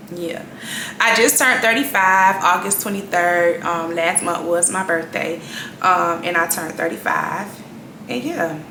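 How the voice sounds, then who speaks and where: Noticeable background noise and audible room echo surround this recording. A woman with an American accent speaks at a fairly low pitch with ordinary pitch variation. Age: 30s. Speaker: vlogger. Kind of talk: casual chat.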